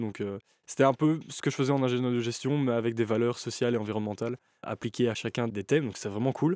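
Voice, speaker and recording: Speaking at a very fast pace, a man with a medium pitch keeps a fairly even intonation, in a dry, close sound with no echo and a very clean recording with a silent background. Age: 20s. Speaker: clothing brand founder. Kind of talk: interview.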